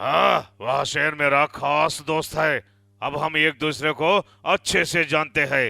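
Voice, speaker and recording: Using a cartoonish character voice, a man speaks at a fairly slow pace in a fairly high pitch. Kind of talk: cartoon bedtime story voice acting. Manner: sly, confident.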